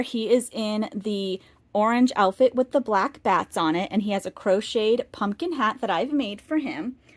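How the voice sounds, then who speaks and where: Speaking at a fairly slow pace, a woman with an American accent has a fairly high pitch and lively intonation. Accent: Boston accent, comes out slightly. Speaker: doll collector YouTuber. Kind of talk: casual show-and-tell video.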